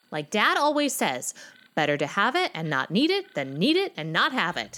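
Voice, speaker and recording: A woman puts on a character voice at a medium pitch with very wide pitch swings. Her pace is moderate. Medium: audio drama. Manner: brash, stubborn.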